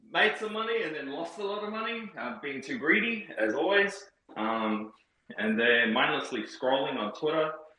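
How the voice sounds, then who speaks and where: Audible room echo carries a man's fairly high voice as it moves at a moderate pace with very wide pitch swings. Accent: New Zealand. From New Zealand. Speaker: crypto community member. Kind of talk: casual chat. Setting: Twitter Spaces audio call.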